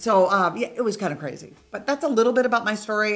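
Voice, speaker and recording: A woman speaks in an unremarkable speaking voice. Her pitch is fairly high, with ordinary variation. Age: 60s. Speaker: real estate investor. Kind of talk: casual interview.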